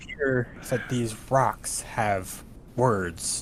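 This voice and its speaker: A man at medium pitch speaks in a put-on character voice against clear background noise. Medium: actual play. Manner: earnest, simple-minded.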